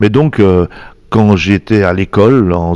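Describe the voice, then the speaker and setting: A man talks in a very deep, low pitch with a dark, mellow tone. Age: 60s. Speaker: singer-guitarist. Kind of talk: interview.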